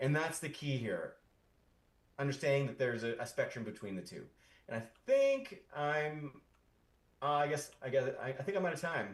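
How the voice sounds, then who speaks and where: Pausing long and often, a somewhat breathy man talks at a fairly high pitch with ordinary pitch variation. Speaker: founder of an AI community, tech speaker. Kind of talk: conference talk. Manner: fast; halting, many repetitions.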